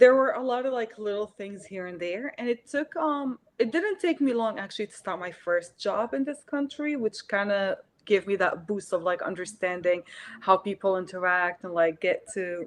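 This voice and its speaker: At a moderate pace, a woman with an Arabic accent speaks at a medium pitch, with lively intonation and big swings in loudness. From Syria. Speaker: artist. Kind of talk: interview. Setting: live stream video call.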